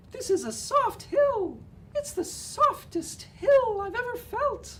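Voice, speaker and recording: In a put-on character voice, a man sounds squeaky at an extremely high pitch. He goes at a fairly slow pace over clear background noise. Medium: read story. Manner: polite, eager.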